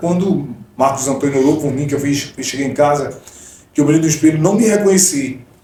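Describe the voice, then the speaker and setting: Room echo is audible as a man speaks. His pitch varies in an ordinary way. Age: 40s. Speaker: gospel singer and missionary. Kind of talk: testimony.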